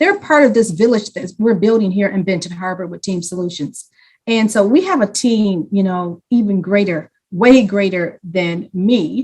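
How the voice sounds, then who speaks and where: A woman speaks at medium pitch in a passionate tone. Her voice is somewhat breathy. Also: ordinary pitch variation, moderate pace. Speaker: community program leader. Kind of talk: panel presentation.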